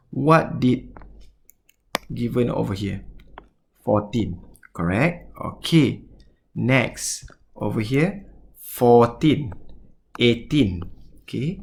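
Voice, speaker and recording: Amid audible room echo, a man with a Malaysian accent speaks very slowly with vocal fry, very wide pitch swings, and long, frequent pauses. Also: medium pitch for a man. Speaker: mathematics teacher. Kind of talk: lecture. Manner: halting.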